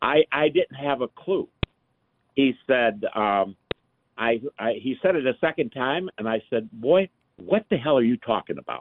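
In an American accent, a man of medium pitch speaks at a fairly slow pace with lively intonation and long, frequent pauses. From US North (Michigan). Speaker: retired businessman. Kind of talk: radio call-in.

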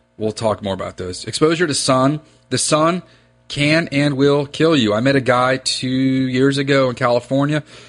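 With an American accent, a man talks at a moderate pace and medium pitch, using ordinary pitch variation. Music plays in the background. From US, northern Virginia (Reston). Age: 30s. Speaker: fly fishing guide and podcast host. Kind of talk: casual solo podcast monologue. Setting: home office. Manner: conversational, tangential.

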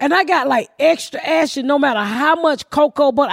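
A woman talks in an animated way, her intonation lively and full of movement. The sound is dry and close with no echo, though noticeable background noise comes through. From US South. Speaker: comedian. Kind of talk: casual chat. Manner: fast.

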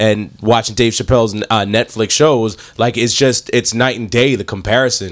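Here a man has an unremarkable speaking voice, pitched at a medium level, with ordinary pitch variation. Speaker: podcast co-host. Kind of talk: casual chat. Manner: excitable.

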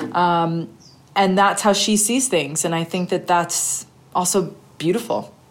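A plain, everyday voice speaks at a fairly slow pace. Pitch varies in an ordinary way. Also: woman, medium pitch for a woman. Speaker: documentary director. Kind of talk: interview.

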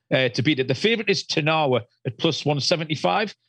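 A man rattles along at a very fast pace against a quiet background. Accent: British. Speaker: horse racing analyst. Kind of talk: casual chat. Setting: phone call.

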